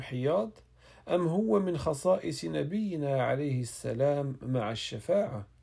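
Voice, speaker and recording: This man's voice carries a dark, mellow tone at a fairly slow pace. The recording is very clean, with a silent background. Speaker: reader of classical Islamic texts. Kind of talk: reading aloud. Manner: formal.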